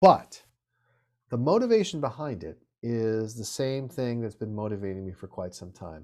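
In a very clean recording with a silent background, a man speaks at a moderate pace and medium pitch with an American accent. His tone is dark and mellow, and his intonation is lively. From US West Coast (Santa Monica, California). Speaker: venture capitalist and author. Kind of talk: interview.

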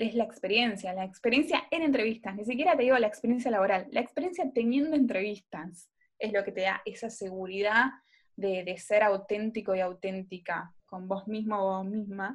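At a moderate pace, a woman with a fairly high, somewhat breathy voice speaks with ordinary pitch variation. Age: 20s. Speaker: podcast co-host. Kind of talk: casual chat.

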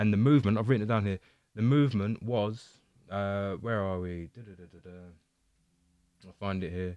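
A man with a southern English accent and a dark, mellow tone speaks at a fairly low pitch and a moderate pace, with ordinary pitch variation, big swings in loudness, and long, frequent pauses. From England (Windsor area). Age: 30s. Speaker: podcast host. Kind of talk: casual chat. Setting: video call.

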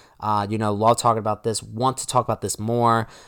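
A man speaks at a medium pitch in an excited, animated tone. His pace is very fast. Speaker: podcast host. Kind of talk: solo monologue recap on fantasy baseball.

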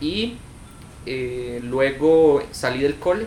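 A man talks with typical pitch movement, and the room's echo is audible around him. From Costa Rica, Cartago. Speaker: youtuber and filmmaker. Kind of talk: casual interview.

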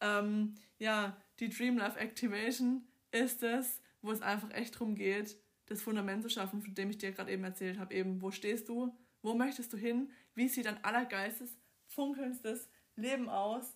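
With a slight Swabian accent, a woman speaks at a fairly high pitch. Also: moderate pace. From southern Germany, Swabia. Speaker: podcast host, life coach. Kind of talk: casual monologue. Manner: animated.

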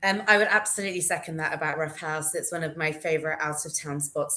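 In a London accent, a woman with a fairly low pitch talks over noticeable background noise. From London, England. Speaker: beer writer. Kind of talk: casual interview.

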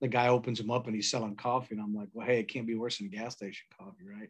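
Speaking at a medium pitch, a man talks with an American accent. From Texas, San Antonio. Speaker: coffee roaster and Navy veteran. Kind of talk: casual interview chat.

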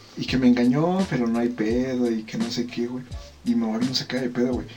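A man at a medium pitch and a fairly quick pace, with audible room echo and noticeable background noise. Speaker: podcast co-host. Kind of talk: casual chat. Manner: animated.

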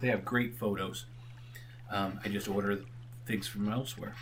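Using a put-on character voice, a man sounds hoarse at a fairly low pitch and a moderate pace, with noticeable background noise.

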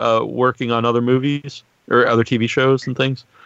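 Over a quiet background, a man talks at a moderate pace with a dry, close sound and no echo. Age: 40s. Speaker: podcast host. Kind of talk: interview. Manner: halting, many fillers.

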